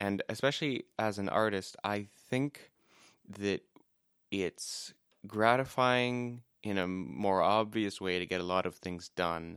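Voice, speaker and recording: A man speaks at a very slow pace, his pitch fairly low. The recording is very clean, with a silent background. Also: ordinary pitch variation, dry, close sound with no echo. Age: 20s. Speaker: podcast co-host. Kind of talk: casual chat.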